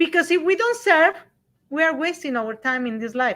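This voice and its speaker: A woman speaks at an extremely high pitch with a bright, sharp tone and very wide pitch swings. The recording is very clean, with a silent background. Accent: Spanish. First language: Spanish. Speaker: radio show co-host. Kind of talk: casual chat.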